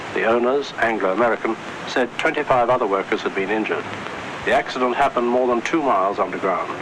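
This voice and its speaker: Over noticeable background noise, a man speaks very fast at a medium pitch. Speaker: radio newsreader. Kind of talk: radio news bulletin read.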